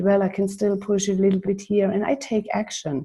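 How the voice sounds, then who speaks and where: A woman's medium-pitched, somewhat breathy voice with a dark, mellow tone, a non-native accent, and a moderate pace. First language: not English. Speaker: coaching client. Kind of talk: casual chat. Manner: halting.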